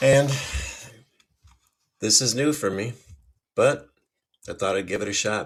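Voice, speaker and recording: With an American accent, a man talks at a fairly slow pace, with long, frequent pauses and ordinary pitch variation. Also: medium pitch for a man. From US Midwest, Chicago suburbs. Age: 50s. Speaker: podcast host and self-published author. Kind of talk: casual monologue. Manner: conversational.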